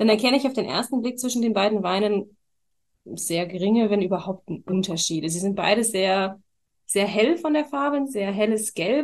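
A woman with a fairly high pitch and lively intonation speaks at a moderate pace in an unremarkable speaking voice. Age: 20s. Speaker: wine queen and trained winemaker. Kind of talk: casual chat during a wine tasting. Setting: studio, seated next to the host.

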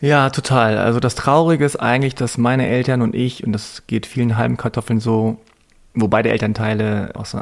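An ordinary speaking voice goes at a moderate pace with fairly even intonation. The recording is very clean, with a silent background. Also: man. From Germany. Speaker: journalist and podcaster. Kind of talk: interview conversation.

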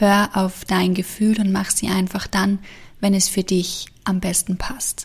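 A somewhat breathy woman's voice at medium pitch, soothing and calm in tone, monotone and flat in intonation, at a fairly slow pace, on a very clean recording with a silent background. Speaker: meditation guide. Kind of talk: guided meditation. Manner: slow, soothing, calm; gentle, hushed with long pauses.

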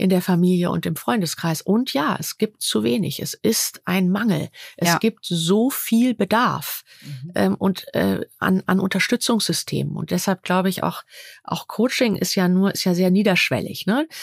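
A plain, everyday voice moves at a fairly slow pace with lively intonation, in a dry, close sound with no echo. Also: woman, medium pitch for a woman. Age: 50s. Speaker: coach. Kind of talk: interview. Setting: at a host's home.

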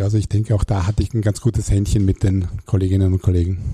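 Dark, mellow tone in a somewhat breathy male voice. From Germany, Hamburg. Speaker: real estate executive. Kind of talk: interview. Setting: studio.

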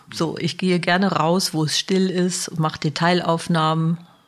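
A woman with a normal speaking voice talks at a fairly slow pace, her pitch fairly low. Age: 60s. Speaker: social worker, head of a support service. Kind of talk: interview.

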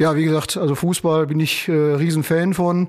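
A man speaks at a moderate pace with a fairly high pitch. The recording is very clean, with a silent background. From Sauerland, western Germany. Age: 50s. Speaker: lawyer. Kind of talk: casual interview chat.

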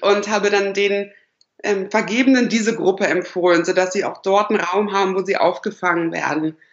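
A woman's plain, everyday voice at a medium pitch, moderate pace and fairly even intonation. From northern Germany, Lower Saxony (Lüneburg/Uelzen). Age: 20s. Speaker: dating platform founder. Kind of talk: podcast interview.

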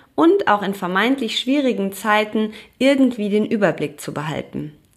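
A woman with an ordinary speaking voice talks at a moderate pace in a fairly high pitch, with lively intonation. The recording is very clean, and the background is silent. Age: 30s. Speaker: podcast host, yoga and meditation teacher. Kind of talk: scripted narration.

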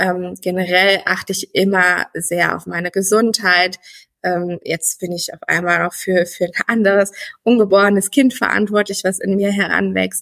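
A woman's medium-pitched voice, monotone and flat, at a moderate pace, with big swings in loudness and a dry, close sound free of echo. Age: 30s. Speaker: former coaching client, pregnant woman. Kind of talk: interview.

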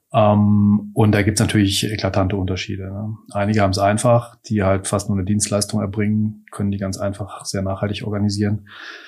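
Over music in the background, a man talks at a fairly quick pace with hardly any pauses, his fairly low pitch held in monotone, flat intonation. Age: 50s. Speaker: master baker, entrepreneur and parliamentary candidate. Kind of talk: interview. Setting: in-person interview at his bakery offices.

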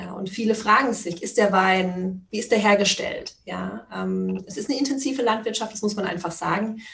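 A woman with an unremarkable speaking voice talks at a moderate pace and medium pitch, with ordinary pitch variation. Her loudness swings widely, and there are hardly any pauses. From Palatinate, Germany. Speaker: wine podcaster. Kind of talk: interview.

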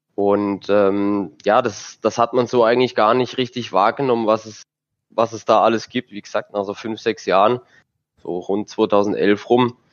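This is a man at medium pitch. His intonation stays monotone and flat. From southern Germany. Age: 20s. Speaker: sim racing driver. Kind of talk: casual chat.

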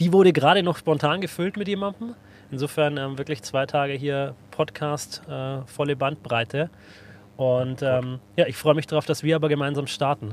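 At a moderate pace, a man talks in a normal speaking voice, fairly high in pitch with ordinary pitch variation. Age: 30s. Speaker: podcast host from the insurance industry. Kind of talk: casual chat. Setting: podcast studio in a bus.

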